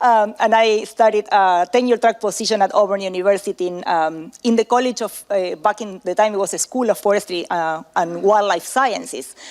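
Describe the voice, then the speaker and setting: A woman with an Argentinian accent, medium pitch, ordinary pitch variation, and moderate pace, in a dry, close sound with no echo. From Argentina. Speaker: professor. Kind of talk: conference talk. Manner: halting, many fillers.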